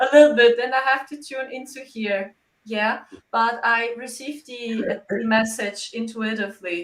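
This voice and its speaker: With a German accent, a woman speaks at a moderate pace and fairly high pitch, her intonation fairly even but her loudness swinging widely. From Germany. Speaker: psychic medium. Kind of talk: interview.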